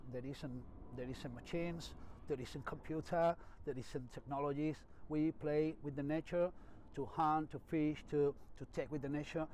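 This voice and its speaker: With a Spanish accent, a man speaks at a fairly high pitch in a monotone, flat intonation. His pace is moderate, with long, frequent pauses. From Spain. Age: 50s. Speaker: bonsai master. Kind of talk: personal story interview. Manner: halting.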